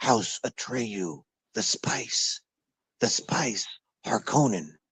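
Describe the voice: Whispering in a raspy, put-on character voice, a man drags out his words at a very slow pace.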